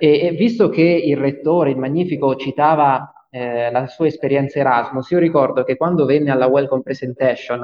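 This is a man's voice. It has a fairly high pitch. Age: 20s. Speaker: student association president. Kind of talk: interview. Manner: halting.

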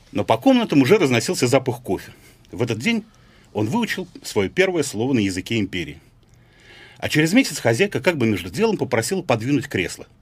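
Speaking at a fairly quick pace, a man sounds somewhat breathy, with very wide pitch swings and long, frequent pauses. The recording is very clean, with a silent background. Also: medium pitch for a man. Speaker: writer. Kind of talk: reading aloud. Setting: studio.

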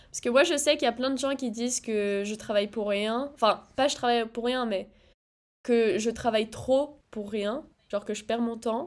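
With a normal speaking voice, a woman talks in a fairly high pitch. Her pace is moderate, and her pitch varies in an ordinary way. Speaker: podcast co-host, student. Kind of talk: casual chat.

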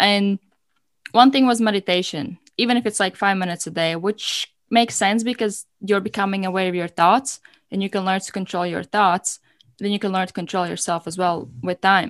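In a dry, close sound with no echo and a quiet background, a woman speaks at a moderate pace with a medium pitch and ordinary pitch variation. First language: not English. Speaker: podcast host and coach. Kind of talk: casual chat. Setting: video call. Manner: calm.

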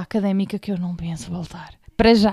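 A woman speaks with a Lisbon accent and ordinary pitch variation. Her tone is dark and mellow. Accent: European Portuguese, Lisbon. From Portugal, Sintra line (Lisbon area). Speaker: podcast host. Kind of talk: casual chat. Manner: animated.

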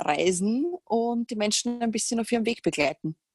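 In a Viennese accent, a woman speaks with lively intonation, the sound dry and close with no echo, as music plays in the background. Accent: Viennese Austrian German. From Austria, Vienna. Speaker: fitness coach and trainer educator. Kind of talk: casual interview chat.

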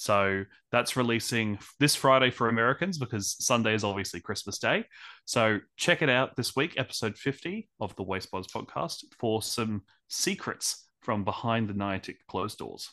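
A man with an Australian accent, medium pitch, bright, sharp tone, ordinary pitch variation and moderate pace against a quiet background. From Australia, Brisbane. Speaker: podcast host, guest. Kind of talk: interview.

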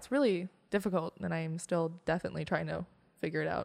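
At a fairly quick pace, a woman with a normal speaking voice and fairly low pitch talks in a dry, close sound with no echo. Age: 20s. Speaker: guest sharing personal experience of grief. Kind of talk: casual conversation.

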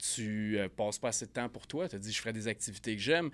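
A man with a Quebec accent speaks at a fairly low pitch with ordinary pitch variation. The recording is very clean, with a silent background. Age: 30s. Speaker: sales coach and firefighter. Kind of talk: casual interview.

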